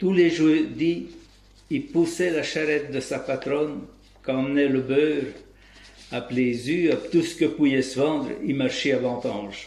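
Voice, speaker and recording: The pace is fairly slow, broken by long, frequent pauses, and the pitch varies in an ordinary way. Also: man, fairly high pitch for a man. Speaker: local dialect storyteller. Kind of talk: folk tale storytelling.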